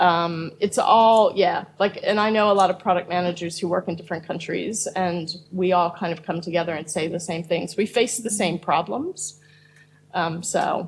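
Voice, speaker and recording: A woman with an American accent speaks at a fairly low pitch and a moderate pace. Her voice is somewhat breathy, and her intonation stays fairly even. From United States. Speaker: product manager. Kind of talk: panel discussion.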